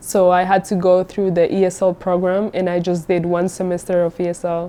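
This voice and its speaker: A woman with a Spanish accent speaks at a moderate pace and fairly low pitch. Her tone is dark and mellow, with monotone, flat intonation. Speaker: international student. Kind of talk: interview testimony.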